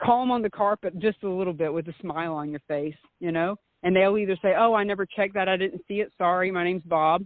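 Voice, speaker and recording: In a Southern US accent, a woman speaks with a medium pitch. Her pace is very fast. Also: ordinary pitch variation. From US South. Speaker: meetup organizer and author. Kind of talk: interview.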